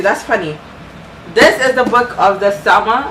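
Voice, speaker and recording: A woman with a Ghanaian accent speaks at a fairly high pitch, with audible room echo and noticeable background noise. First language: Ghanaian language (English is her third). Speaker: booktuber. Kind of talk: book review vlog. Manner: animated.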